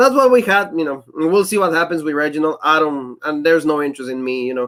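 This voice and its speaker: A man races along at a very fast pace with lively intonation and a fairly high pitch. The recording is very clean with a silent background. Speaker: wrestling show reviewer. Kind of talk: casual chat.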